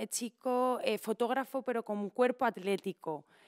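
A woman's voice with ordinary pitch variation against a quiet background. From Spain, Valencia region. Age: 30s. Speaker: impressionist and poet; podcast guest. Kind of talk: casual chat. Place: studio. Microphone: studio mic.

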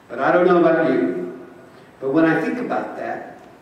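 Strong room echo fills the recording. The speech moves at a moderate pace. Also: man. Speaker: Episcopal bishop. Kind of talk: sermon delivered to a congregation. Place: church.

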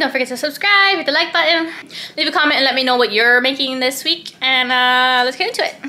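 A woman uses a raised, projected voice. She talks at a very fast pace. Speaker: parent vlogger. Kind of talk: casual vlog chat. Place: kitchen. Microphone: phone near.

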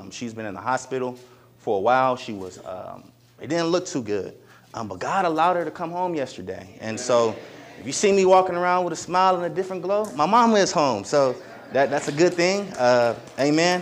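Animated and fairly quick, a man speaks at a fairly high pitch with very wide pitch swings and big swings in loudness, over light background noise. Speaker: preacher. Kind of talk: sermon. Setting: church. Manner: animated, fervent preaching with call-and-response. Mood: joyful, smiling. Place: church.

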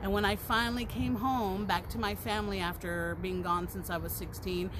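A woman at a moderate pace, over noticeable background noise. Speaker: live streamer. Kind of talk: casual vlog chat. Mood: cheerful, relaxed. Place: garden. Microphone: phone near.

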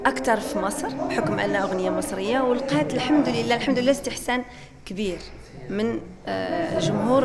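A woman speaks over loud background noise. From Morocco. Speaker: singer and businesswoman; interviewee. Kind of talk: interview. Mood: grateful, cheerful. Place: hall. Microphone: handheld.

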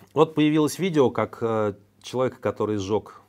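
The man speaks at a moderate pace. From Russia. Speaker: news commentary host. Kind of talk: news commentary monologue. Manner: conversational, with filler hesitations. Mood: ironic, critical. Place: studio.

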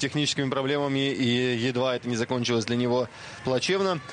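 A man's voice with a fairly high pitch. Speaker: cycling commentator. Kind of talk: live commentary. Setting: TV broadcast. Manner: frequent filler hesitations.

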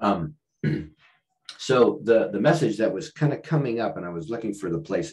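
A man with a medium-pitched voice and vocal fry, at a moderate pace, with very wide pitch swings over a quiet background. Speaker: author and leadership consultant; podcast guest. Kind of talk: podcast interview. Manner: halting, many restarts and fillers. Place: home room. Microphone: video call.

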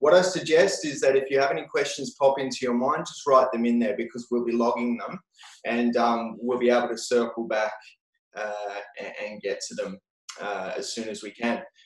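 Recorded with audible room echo over a quiet background, a man speaks at a moderate pace with ordinary pitch variation and big swings in loudness. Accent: Australian. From Australia, rural New South Wales. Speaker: webinar host, education company founder. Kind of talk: webinar hosting. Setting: video call. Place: office. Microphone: video call.

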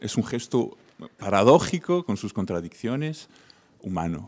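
Speaking at a fairly slow pace, a man uses a medium pitch with very wide pitch swings. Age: young. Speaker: audience member. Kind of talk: audience question.

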